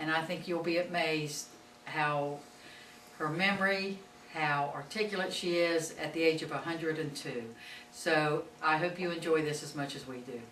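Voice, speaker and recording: Noticeable background noise sits behind a woman whose very deep, low pitch shows ordinary pitch variation. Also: moderate pace. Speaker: school superintendent. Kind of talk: interview introduction.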